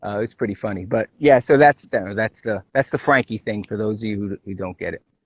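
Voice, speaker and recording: A man with a Brooklyn accent speaks at a fairly quick pace in a fairly low pitch, with ordinary pitch variation and big swings in loudness. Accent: Brooklyn New York. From New York City (Brooklyn). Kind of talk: casual chat.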